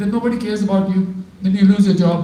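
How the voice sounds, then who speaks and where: The speech moves at a fairly quick pace. Background noise can be clearly heard. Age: 70s. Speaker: spiritual teacher. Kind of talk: religious talk with audience questions.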